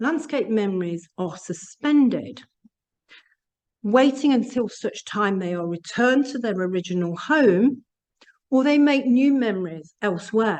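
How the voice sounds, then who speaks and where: A woman with a plain, everyday voice, fairly high in pitch, at a fairly slow pace with lively intonation. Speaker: academic researcher. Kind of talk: lecture.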